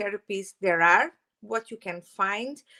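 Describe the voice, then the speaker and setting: Speaking at a fairly slow pace with a strong Portuguese accent, a woman has a bright, sharp tone and ordinary pitch variation in a dry, close sound with no echo. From Portugal. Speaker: holistic therapist and Reiki teacher. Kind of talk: channel introduction vlog. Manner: hesitant, many fillers.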